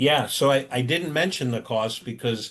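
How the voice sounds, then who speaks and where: A man speaks over a quiet background. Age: 60s. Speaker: insurance and caregiving services presenter. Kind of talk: webinar Q&A. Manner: halting, with repetitions.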